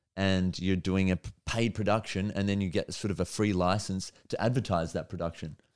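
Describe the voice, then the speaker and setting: This speaker has an Australian accent and talks at a fairly quick pace. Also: man, very deep, low pitch for a man. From Australia, Melbourne. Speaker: stand-up comedian. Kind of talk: casual chat. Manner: animated.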